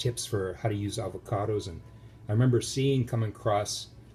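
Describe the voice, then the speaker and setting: Fairly low in pitch and somewhat breathy, a man's voice comes through. He speaks at a fairly quick pace. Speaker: home cook video host. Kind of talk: casual cooking tutorial. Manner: hesitant, many fillers.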